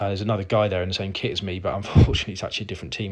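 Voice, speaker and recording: A man's very deep, low voice. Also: very clean recording, silent background. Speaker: amateur cyclist narrating race highlights. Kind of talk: video voiceover commentary. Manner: monotone; hesitant, many fillers.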